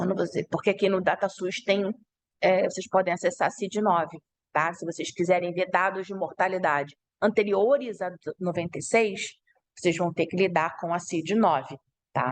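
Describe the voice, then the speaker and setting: Moderate pacing and ordinary pitch variation in an unremarkable speaking voice. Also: woman, medium pitch for a woman. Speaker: university lecturer. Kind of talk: online lecture.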